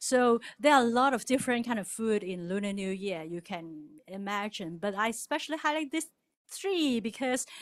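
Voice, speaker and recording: A woman with a Cantonese accent speaks at a moderate pace and a fairly high pitch, on a very clean recording with a silent background. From Hong Kong. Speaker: church member presenter. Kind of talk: presentation to congregation.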